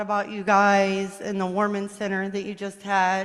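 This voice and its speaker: The voice is a woman's, pitched in the medium range. Audible room echo surrounds it. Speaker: first-time visitor. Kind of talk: self-introduction. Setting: church. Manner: loud.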